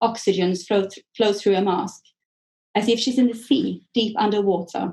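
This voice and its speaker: A woman's dark, mellow voice at medium pitch, in a Swedish accent, with fairly even intonation and a moderate pace. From Sweden. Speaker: author. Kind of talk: author reading from own novel.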